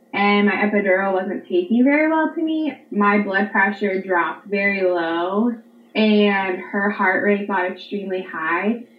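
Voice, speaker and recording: Against noticeable background noise, a woman with an American accent speaks at a fairly slow pace, with a medium pitch and ordinary pitch variation. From Pennsylvania. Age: 30s. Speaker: stay-at-home mother and online teacher. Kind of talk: personal storytelling interview.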